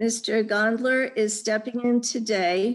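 Against a quiet background, the speech unfolds at a very slow pace in a monotone, flat intonation. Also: woman. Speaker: event moderator. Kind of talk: formal introduction. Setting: video call. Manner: formal. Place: home room. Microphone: video call.

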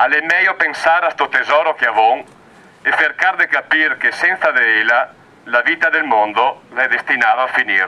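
In a Venetian accent, a man with a fairly high voice speaks at a moderate pace, his intonation lively and his loudness very even. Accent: Belluno dialect. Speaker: activist poet. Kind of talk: poetry reading. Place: open country.

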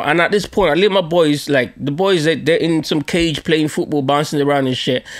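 Against a quiet background, a man with a London accent talks at a moderate pace in an animated tone, his fairly high pitch showing ordinary variation. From Nigerian heritage, London. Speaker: podcast host. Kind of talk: storytelling monologue. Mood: humorous, joking. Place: home room. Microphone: studio mic.

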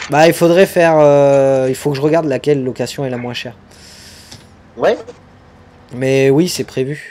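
A man at a fairly slow pace, with long, frequent pauses over light background noise. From France. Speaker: gaming streamer. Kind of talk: live gameplay stream chat. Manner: animated.

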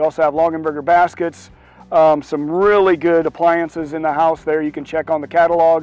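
A man's fairly high voice, dry with no echo, over faint music in the background. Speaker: auctioneer. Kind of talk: auction announcement to camera. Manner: casual, hesitant. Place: garden. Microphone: lapel.

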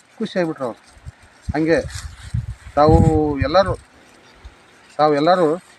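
There is noticeable background noise as a man with a fairly high voice speaks with ordinary pitch variation. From India, Vijayapura district, north Karnataka. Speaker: farmer. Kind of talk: testimony to camera.

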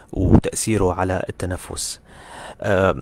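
Very deep and low in pitch, this man talks at a very slow pace with fairly even intonation. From Syria. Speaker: orthodontist and university lecturer. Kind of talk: lecture. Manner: halting. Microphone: audio quality issues reported by some listeners.

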